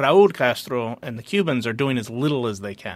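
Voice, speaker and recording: Speaking with an American accent at a moderate pace, a man has an unremarkable speaking voice at a medium pitch. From United States, Colombian family. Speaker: former foreign policy advisor. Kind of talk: interview.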